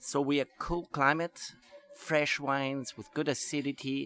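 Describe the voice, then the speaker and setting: A man's speech moves at a fairly slow pace. The sound is dry and close, without any echo. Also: very clean recording, silent background. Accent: German. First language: German. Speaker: wine trade promoter. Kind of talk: interview.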